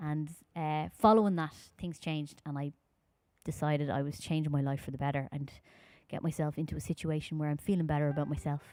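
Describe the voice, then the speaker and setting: A woman's very deep, low-pitched voice in a Dublin accent, very fast and dark and mellow in tone, with ordinary pitch variation on a very clean recording with a silent background. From Ireland, Dublin. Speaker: folk singer. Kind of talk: live-streamed concert talk between songs.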